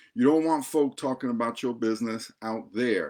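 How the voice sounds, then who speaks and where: A man speaks in an animated tone at a moderate pace. The recording is very clean, with a silent background. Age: 60s. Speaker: pastor and divorce coach. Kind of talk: advice talk to camera.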